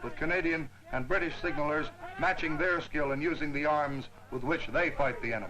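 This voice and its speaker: Noticeable background noise surrounds a man's voice. He talks at a fairly quick pace. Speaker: newsreel narrator. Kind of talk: wartime newsreel narration.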